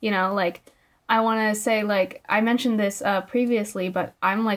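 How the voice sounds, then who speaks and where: A woman with a Californian accent speaks at a medium pitch. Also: very clean recording, silent background. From immigrated to the US at age five. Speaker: podcast host and college student. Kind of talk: casual chat.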